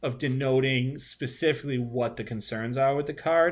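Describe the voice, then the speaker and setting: A man with a strong Boston accent at a moderate pace, ordinary pitch variation, and a very clean recording with a silent background. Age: 40s. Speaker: recurring podcast guest and basketball card collector. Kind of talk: casual chat.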